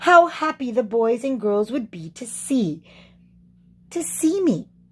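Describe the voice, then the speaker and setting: A woman uses a put-on character voice, high in pitch and fairly slow in pace. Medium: read story.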